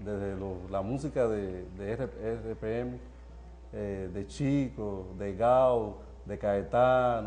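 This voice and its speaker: With a strong Spanish accent, a man speaks very slowly at a fairly low pitch, his dark, mellow tone moving through very wide pitch swings amid audible room echo. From Cuba. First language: Spanish (speaking Portuguese). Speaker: doctor. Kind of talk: interview. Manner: halting, mixing Spanish and Portuguese.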